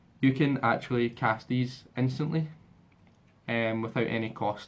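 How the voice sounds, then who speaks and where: A man talks at medium pitch with a Scottish accent. His intonation stays fairly even. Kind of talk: casual game demo walkthrough.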